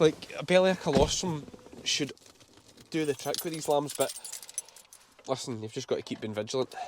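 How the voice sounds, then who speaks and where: A man speaks at a moderate pace with a strong Scottish accent. Noticeable background noise runs behind him. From Scotland, Ayrshire. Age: 30s. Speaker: sheep farmer. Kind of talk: casual vlog commentary. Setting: outdoors.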